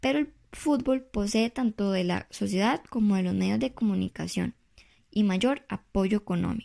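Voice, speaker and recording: A woman speaks at a moderate pace with very even loudness, in a very clean recording with a silent background and a dry, close sound with no echo. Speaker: presidential candidate. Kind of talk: prepared campaign speech read aloud. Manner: formal, read from script with small repetitions.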